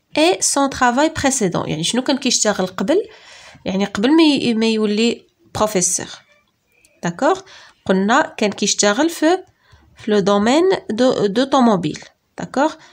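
Speaking at a very slow pace with long, frequent pauses, a woman uses a high pitch and very wide pitch swings. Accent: Moroccan. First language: Moroccan Arabic (speaking French). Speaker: teacher. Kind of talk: lecture. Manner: halting.

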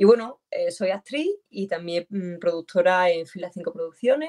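Talking at a moderate pace, the woman shows ordinary pitch variation. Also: quiet background. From Huelva, Andalusia, Spain. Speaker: actress and producer. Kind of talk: casual interview. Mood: animated, laughing storytelling. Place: home room. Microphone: video call.

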